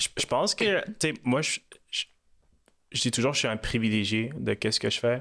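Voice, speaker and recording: Delivered at a moderate pace, the speech comes on a very clean recording with a silent background and a dry, close sound with no echo. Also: man. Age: 20s. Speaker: mortgage lender, company founder. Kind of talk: podcast interview. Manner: many hesitations and repeated words; animated storytelling.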